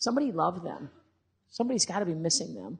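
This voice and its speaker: A woman speaks with vocal fry against a quiet background. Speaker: animal services director on panel. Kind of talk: panel talk. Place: hall.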